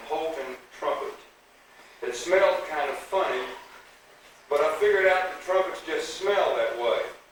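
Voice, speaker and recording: A man talks at a moderate pace while audible room echo and noticeable background noise fill the recording. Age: 60s. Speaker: high school band director. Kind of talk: banquet speech. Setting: school banquet with audience.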